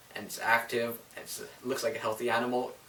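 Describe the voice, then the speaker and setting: A man talks at a moderate pace. Noticeable background noise is present. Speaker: reptile keeper sharing care tips. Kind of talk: casual tutorial. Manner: hesitant, stumbling over words; casual, filler-heavy.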